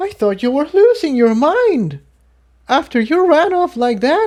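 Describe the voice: In a put-on character voice, a man speaks at an extremely high pitch with big pitch swings. His pace is fairly slow and his tone slightly mellow.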